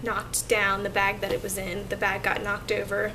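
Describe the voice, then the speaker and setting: Amid noticeable background noise and audible room echo, a woman speaks with an American accent. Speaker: vlogger. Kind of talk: casual vlog update.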